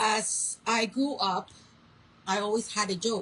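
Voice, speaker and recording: A woman, her voice somewhat breathy, talks fairly slowly. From Colombia and US (moved at 11). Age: 50s. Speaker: chronic illness patient vlogger. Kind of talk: personal testimony. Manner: halting, pausing to find words.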